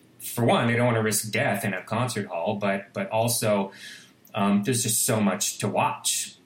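A man at medium pitch and moderate pace, fairly even intonation, noticeable background noise. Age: 50s. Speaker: composer and musician. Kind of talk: interview conversation.

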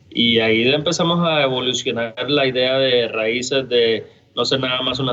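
A man speaks in a plain, everyday voice at a medium pitch, his intonation fairly even. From Costa Rica, San José; US from age 12. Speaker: brewery co-founder. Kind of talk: casual interview chat.

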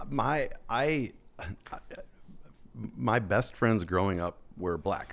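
Delivered at a very slow pace, the speech swings very widely in pitch and is broken by long, frequent pauses. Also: man, fairly low pitch for a man. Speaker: business CEO and climber. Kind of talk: casual interview. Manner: halting, hesitant.

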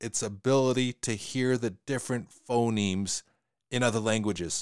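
A man with a Western Canadian accent is heard in a dry, close, echo-free recording that is very clean, with a silent background. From Western Canada. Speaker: podcast host. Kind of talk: casual podcast discussion. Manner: fast talker, hesitant with repeated words.

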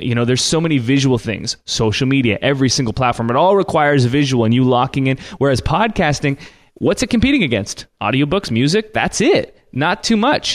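Over a quiet background, a man with a Canadian accent speaks in a plain, everyday voice at a fairly high pitch and fairly quick pace, with lively intonation and very even loudness. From Canada. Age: 20s. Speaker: church media business founder. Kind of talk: interview.

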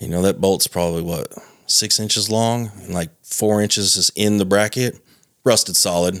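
In a very clean recording with a silent background, a man with a normal speaking voice talks at a moderate pace in a fairly low pitch with fairly even intonation. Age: 30s. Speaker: heavy equipment mechanic. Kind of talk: casual chat.

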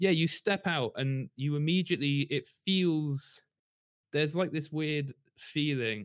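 A man speaks at a fairly slow pace with ordinary pitch variation. The recording is very clean, with a silent background and a dry, close sound with no echo. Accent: London. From London, England. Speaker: writer. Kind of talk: casual chat.

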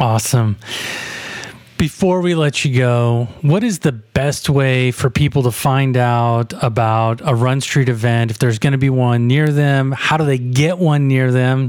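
A man's medium-pitched voice, fairly even in intonation, over noticeable background noise. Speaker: podcast host. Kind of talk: casual interview.

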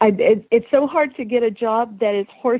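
Pitch variation is ordinary for this speaker, who talks with an American accent. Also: woman. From US South. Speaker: listener of the week, horse owner. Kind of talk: casual interview.

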